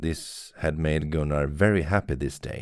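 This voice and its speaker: On a very clean recording with a silent background, a man speaks with a Swedish accent. His pitch is very deep and low, with ordinary variation, and his pace is fairly slow. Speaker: podcaster reading fiction aloud. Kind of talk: reading aloud.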